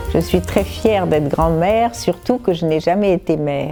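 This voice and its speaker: Over background music, a woman with a fairly low voice talks at a moderate pace. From Morocco. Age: 70s. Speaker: author and cook. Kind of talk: interview answer. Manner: clear.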